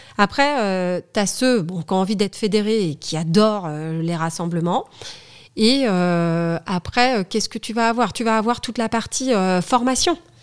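In a very clean recording with a silent background, a woman with a fairly high pitch talks at a fairly slow pace with lively intonation. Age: 40s. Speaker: studio photographer and federation president. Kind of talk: casual interview chat. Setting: in person, same room as host.

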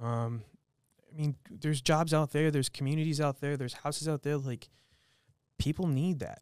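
A man with a fairly high pitch speaks at a moderate pace with fairly even intonation and long, frequent pauses. The recording is very clean with a silent background, the sound dry and close with no echo. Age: 30s. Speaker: chef. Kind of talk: casual chat.

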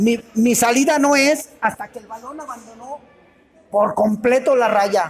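Over music in the background, a man speaks very slowly at an extremely high pitch for a man, with ordinary pitch variation. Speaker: veteran football referee. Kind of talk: panel discussion.

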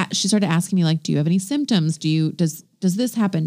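A woman's fairly low voice with lively intonation, at a fairly quick pace. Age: 30s. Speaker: podcast co-host. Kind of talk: casual chat.

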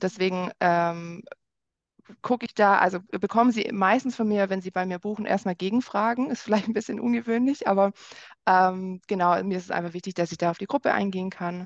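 With a normal speaking voice, a woman talks in a medium pitch and ordinary pitch variation, the sound dry and close with no echo. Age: 30s. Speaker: wine experience guide. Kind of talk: casual interview.

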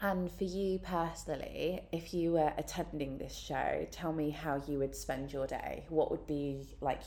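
A woman speaks at a moderate pace with hardly any pauses. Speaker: podcast host. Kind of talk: casual interview. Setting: in-person room recording.

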